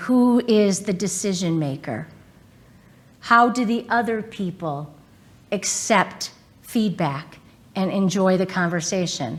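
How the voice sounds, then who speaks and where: A woman speaks very slowly in an American accent, with long, frequent pauses. Her pitch sits in the middle of the female range and moves with ordinary variation. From US Midwest, Southwest Detroit. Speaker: corporate lawyer and executive. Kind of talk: keynote talk. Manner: loud; animated.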